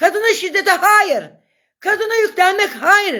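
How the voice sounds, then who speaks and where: A woman speaks at an extremely high pitch with a bright, sharp and animated tone. The recording is very clean, the background silent. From Turkey, Gelibolu. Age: 50s. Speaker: social media live streamer and local activist. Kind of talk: live stream monologue.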